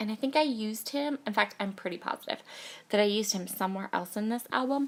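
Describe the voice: A woman speaks in a croaky voice at a medium pitch. Her pace is fairly quick, with ordinary pitch variation.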